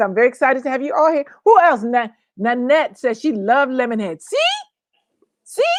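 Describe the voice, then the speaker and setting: A woman with an American accent and a high pitch, very fast and with lively intonation. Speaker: co-host. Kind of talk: casual chat.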